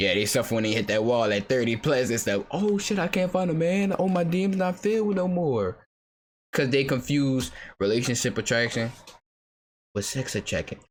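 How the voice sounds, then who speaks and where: Very wide pitch swings mark this man's medium-pitched voice, while his loudness stays very even. The recording is very clean, with a silent background. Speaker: reaction streamer. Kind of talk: casual reaction commentary. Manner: stutter; fast.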